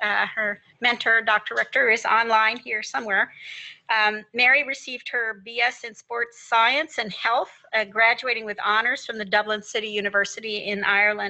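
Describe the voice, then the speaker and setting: Her intonation stays flat and monotone at a moderate pace. The woman is heard against a quiet background. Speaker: faculty host introducing speaker. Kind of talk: formal introduction. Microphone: video call.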